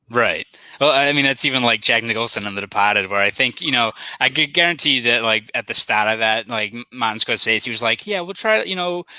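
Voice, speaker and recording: This man talks at a fairly quick pace with a Boston accent and lively intonation. His medium-pitched voice has a bright, sharp tone, and the sound is dry and close with no echo. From Boston, South Boston. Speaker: sports journalist. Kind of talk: casual chat.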